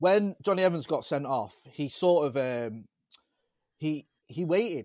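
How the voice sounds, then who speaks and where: With a slight Manchester accent, a man speaks using lively intonation. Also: dry, close sound with no echo. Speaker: football podcaster, United fan. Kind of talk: casual chat. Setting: video call.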